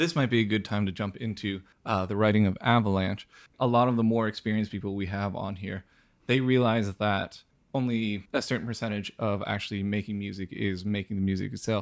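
A man speaks in an unremarkable speaking voice, fairly low in pitch and fairly quick. His intonation stays fairly even on a very clean recording with a silent background. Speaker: podcast co-host. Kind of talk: casual interview chat.

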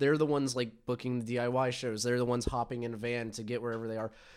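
Here is a man with an unremarkable speaking voice, a medium pitch and an American accent, talking at a fairly quick pace. The recording is very clean, with a silent background. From Atlanta, US South. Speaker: podcast host, hardcore music fan. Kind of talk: casual chat. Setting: home room with mics.

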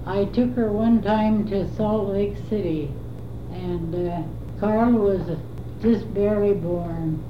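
Noticeable background noise sits under a woman who talks at a very slow pace. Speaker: family elder recounting memories. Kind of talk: elder life story, recalled family anecdote. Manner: meandering, filler-heavy with frequent uh pauses; tender, reverent storytelling.

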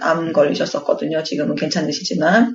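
A woman's lively intonation over noticeable background noise. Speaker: podcast co-host, expectant mother. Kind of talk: casual chat.

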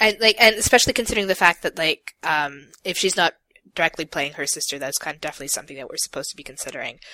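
Talking at a very fast pace with lively intonation, a woman with a fairly low pitch and a bright, sharp tone shows big swings in loudness, her sound dry and close with no echo. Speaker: podcast co-host. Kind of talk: casual chat. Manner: stumbles when reading aloud.

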